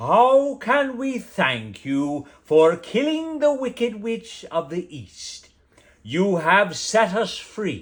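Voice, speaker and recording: Doing a put-on character voice, a man speaks very slowly at a high pitch. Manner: gracious, grateful.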